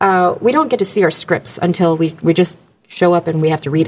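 A woman's fairly low-pitched voice with an American accent. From Orlando, Florida. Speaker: voiceover artist and food vendor. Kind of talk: casual chat. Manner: animated.

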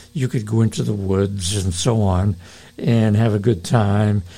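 With an unremarkable speaking voice, a man speaks at a fairly slow pace and a medium pitch. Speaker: pastor and radio host. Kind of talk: radio sermon-style talk and interview.

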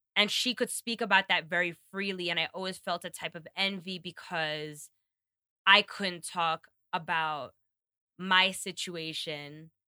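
Bright and sharp in tone, the speech moves at a fairly slow pace. The sound is dry and close with no echo, in a very clean recording with a silent background. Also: woman, fairly low pitch for a woman, fairly even intonation. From New York. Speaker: podcast guest. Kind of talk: casual chat.

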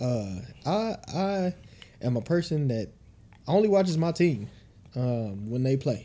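A man speaks fairly slowly at a medium pitch in a relaxed, dark, mellow tone. His pitch swings very widely, and he takes long, frequent pauses. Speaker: podcast co-host. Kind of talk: casual banter podcast chat. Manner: relaxed, joking.

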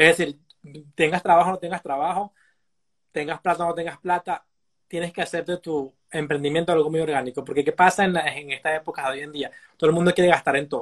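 At a very fast pace, a man with a high pitch and fairly even intonation is heard in a dry, close sound with no echo. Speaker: life coach and psychologist. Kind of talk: casual interview. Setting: live Instagram stream.

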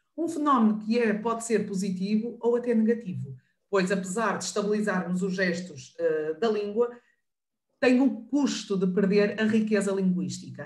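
A somewhat breathy woman with a northern Portuguese accent, medium in pitch with ordinary variation, at a moderate pace amid audible room echo. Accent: northern European Portuguese. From northern Portugal. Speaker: professor and sign language interpreter. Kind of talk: online panel discussion.

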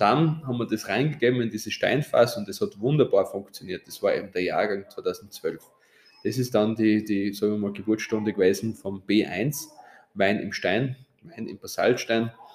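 This man has an unremarkable speaking voice with a medium pitch, ordinary pitch variation and a moderate pace. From Austria, Styria (Straden). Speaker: winemaker and hotelier. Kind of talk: interview. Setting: seminar room at his winery.

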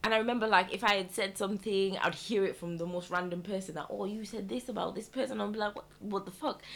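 A woman at a very fast pace with hardly any pauses, medium pitch and ordinary pitch variation. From Malawi, moved to UK at 14. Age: 20s. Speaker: podcast co-host. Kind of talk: casual chat.

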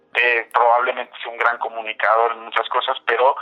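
At a fairly quick pace, a man speaks with an unremarkable speaking voice at a medium pitch. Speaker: political analyst at an NGO. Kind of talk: interview. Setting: phone call. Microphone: phone line.

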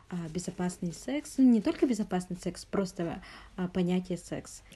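A woman's somewhat breathy voice has a dark, mellow tone and a medium pitch. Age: 20s. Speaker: podcast host. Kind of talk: interview.

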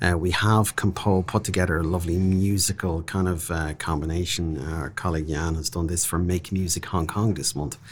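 A man with an Irish accent, very deep and low in pitch, at a fairly quick pace with hardly any pauses and fairly even intonation. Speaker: diplomat. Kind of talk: interview.

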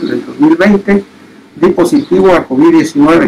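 A man talks with lively intonation while noticeable background noise carries on around him. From Oaxaca, Mexico. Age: 60s. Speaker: COVID-19 survivor. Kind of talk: testimony.

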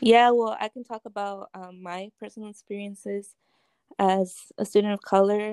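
A woman's dark, mellow voice comes in flat, monotone intonation, with a dry, close sound and no echo. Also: medium pitch for a woman, moderate pace. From US, Mexican-American. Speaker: student podcast host. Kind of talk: casual chat. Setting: remote recording.

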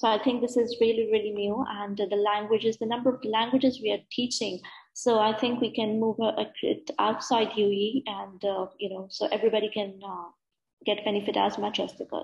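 A woman speaks at a moderate pace in a fairly high, somewhat breathy voice against a quiet background. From UAE, Abu Dhabi, of Pakistani family. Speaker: software engineer and business owner. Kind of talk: interview. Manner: hesitant, many fillers.

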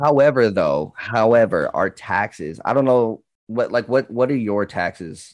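This is an unremarkable speaking voice, and it proceeds at a fairly slow pace. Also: man. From Canada, northern Ontario. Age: 20s. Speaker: Twitch streamer. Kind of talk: casual chat.

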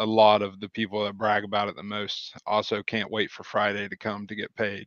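Delivered at a moderate pace, the speech comes in a rural Ohio accent. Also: man. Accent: rural Ohio country. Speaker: auto detailer and business owner. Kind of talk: casual interview chat.

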